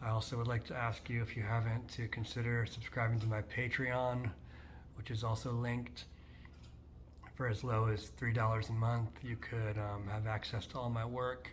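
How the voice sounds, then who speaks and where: Somewhat breathy, a man speaks at a moderate pace with monotone, flat intonation. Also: medium pitch for a man. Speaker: poet. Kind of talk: poetry reading. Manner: halting.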